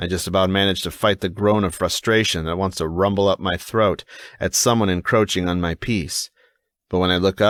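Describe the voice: Against a quiet background, the plain reading aloud has fairly even intonation.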